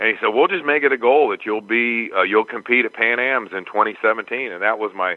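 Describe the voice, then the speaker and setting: At a fairly quick pace, a man speaks at a medium pitch with ordinary pitch variation in a plain, everyday voice. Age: 60s. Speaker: Brazilian jiu-jitsu purple belt competitor. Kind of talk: interview answer.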